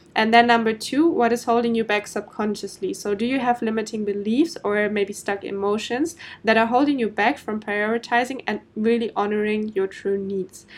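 A woman with a German accent speaks at a fairly high pitch. Her moderate pace has hardly any pauses and fairly even intonation. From Germany. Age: 20s. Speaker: podcast host, business coach. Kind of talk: solo podcast monologue. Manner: casual, with filler ums.

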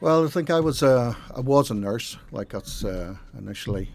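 A man with a Northern Irish accent talks at a fairly quick pace. His intonation is lively. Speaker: football statistician. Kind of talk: casual chat. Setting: studio.

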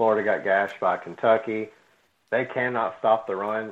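The man's pitch sits fairly low, and his delivery keeps a medium tempo. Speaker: sports podcast co-host. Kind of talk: casual chat.

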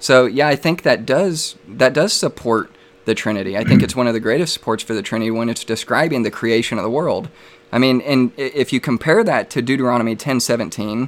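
A man uses a plain, everyday voice at a medium pitch with ordinary pitch variation. He talks at a fairly quick pace. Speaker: debate host and Trinitarian apologist. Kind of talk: live religious debate. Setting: live stream online.

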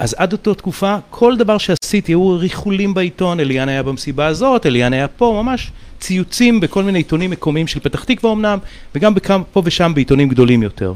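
His intonation lively and his pitch high, the man moves along at a fairly quick pace. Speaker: mentalist. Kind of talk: casual chat.

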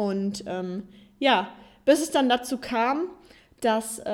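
A woman's voice at a fairly high pitch. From Hesse, Germany (Darmstadt). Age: 20s. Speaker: podcast host, former handball player. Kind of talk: personal story monologue. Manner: hesitant with many fillers.

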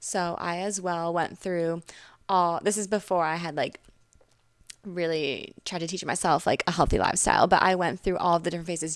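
In an ordinary speaking voice, a woman with an American accent talks at a fairly quick pace, her pitch fairly low and her intonation fairly even. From Connecticut, US. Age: 20s. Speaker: social media influencer. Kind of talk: casual chat.

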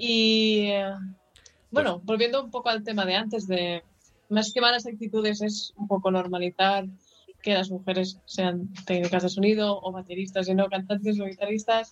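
The voice moves at a moderate pace with a monotone, flat intonation. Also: woman, medium pitch for a woman. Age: 20s. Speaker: rock band musician. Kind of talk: radio interview.

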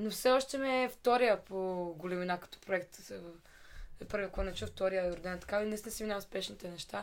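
A woman talks at a fairly quick pace with big swings in loudness. Her medium pitch shows ordinary variation. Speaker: singer. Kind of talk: casual chat.

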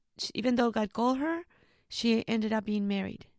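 A woman with a Spanish accent, dry and close with no echo, on a very clean recording against a silent background. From Mexico, Jalisco. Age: 30s. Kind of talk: interview about vocation. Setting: school library.

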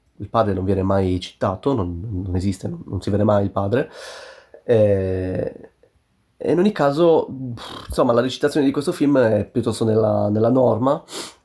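A man talks at a moderate pace with long, frequent pauses. His voice is fairly low in pitch, dark and mellow in tone, with lively intonation. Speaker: podcaster. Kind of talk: solo podcast monologue, casual. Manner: halting, many fillers.

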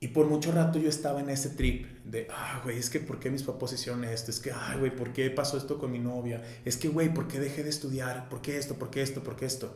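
Over noticeable background noise, a man with a medium pitch speaks at a fairly quick pace with hardly any pauses. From Mexico, Guadalajara. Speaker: entrepreneurship facilitator and consultant. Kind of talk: casual interview chat. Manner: animated, slangy.

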